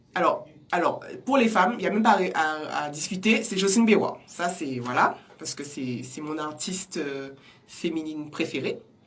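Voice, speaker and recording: A woman's fairly low voice at a moderate pace, with big swings in loudness and noticeable background noise. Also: lively intonation. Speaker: singer. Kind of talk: interview. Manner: halting.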